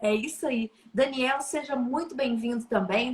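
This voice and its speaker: Speaking with a Minas Gerais accent, a woman uses a high pitch and ordinary pitch variation against noticeable background noise. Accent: mineiro. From Minas Gerais, Brazil. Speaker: live stream host. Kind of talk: live stream chat, welcoming viewers. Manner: warm, lively.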